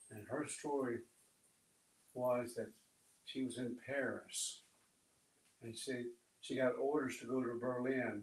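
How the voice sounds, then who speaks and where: The speech moves at a fairly slow pace in a monotone, flat intonation, broken by long, frequent pauses. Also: man, medium pitch for a man. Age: 80s+. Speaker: audience member, army veteran. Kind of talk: audience question.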